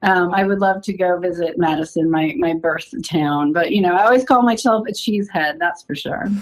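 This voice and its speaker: An ordinary speaking voice from a woman with an American accent, medium in pitch, with lively intonation, a moderate pace and hardly any pauses. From US South, Athens, Georgia. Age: 40s. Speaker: energy healer. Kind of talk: casual chat.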